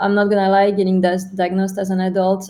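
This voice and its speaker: A woman speaks with a French accent at a medium pitch. Her tone is dark and mellow. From France. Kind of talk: interview.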